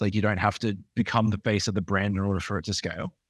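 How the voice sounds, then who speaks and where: A man talks very fast at a fairly low pitch, on a very clean recording with a silent background. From Australia. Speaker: podcast co-host. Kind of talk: podcast interview.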